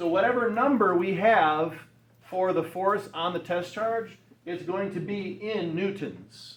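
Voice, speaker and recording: In a room with audible echo, a man speaks very slowly at a high pitch. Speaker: high school physics teacher. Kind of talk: classroom lecture. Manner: halting, self-correcting.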